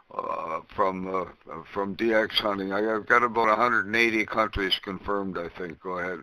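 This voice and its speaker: Noticeable background noise behind a man's fairly quick speech. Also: fairly low pitch for a man, fairly even intonation. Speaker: ham radio net controller. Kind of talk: ham radio conversation. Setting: radio transmission via remote station.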